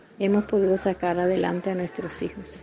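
A woman talks against noticeable background noise. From Colombia, Antioquia (Zaragoza). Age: 60s. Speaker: small business owner, baker. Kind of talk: personal testimony.

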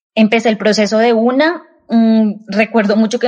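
A woman talks at a moderate pace in a fairly high pitch. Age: 30s. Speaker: industrial engineer. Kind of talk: casual interview. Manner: halting, many fillers and repetitions.

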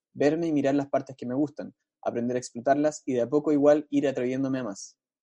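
Pitched fairly high, a man speaks at a very fast pace with a dark, mellow tone in a dry, close sound with no echo. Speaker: podcast co-host. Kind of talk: casual chat.

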